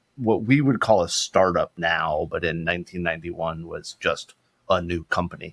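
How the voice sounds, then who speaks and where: The sound is dry and close with no echo as a man speaks in a plain, everyday voice at a moderate pace with lively intonation. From Florida, US South. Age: 50s. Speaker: security company CEO. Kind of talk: casual podcast interview.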